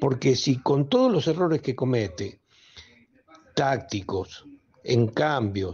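Somewhat breathy speech moves at a very slow pace with long, frequent pauses and very even loudness. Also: man, medium pitch for a man, lively intonation. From Argentina. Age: 70s. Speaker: caller (football fan). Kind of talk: listener message. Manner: animated. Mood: indignant, critical. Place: studio. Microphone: studio mic.

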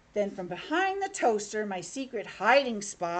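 Simple, plain reading aloud

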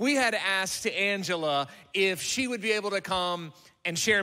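Against a quiet background, a man's raised, projected voice has a bright, sharp tone. His pitch variation is ordinary. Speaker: pastor. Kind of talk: stage announcement and guest introduction, then prayer. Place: church. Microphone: handheld.

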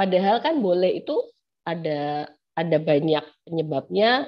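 With a quiet background, a woman speaks with lively intonation. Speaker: law lecturer. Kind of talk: online lecture. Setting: video call. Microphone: unstable connection, audio cutting out; webcam.

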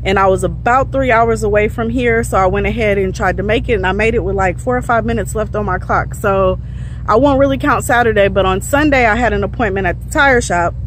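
A woman at a very fast pace, dry sound with no echo, light background noise. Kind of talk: casual vlog chat. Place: street. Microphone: phone near.

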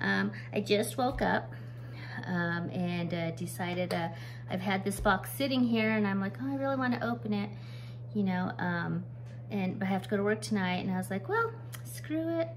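A woman at medium pitch, with ordinary pitch variation, a moderate pace and clear background noise.

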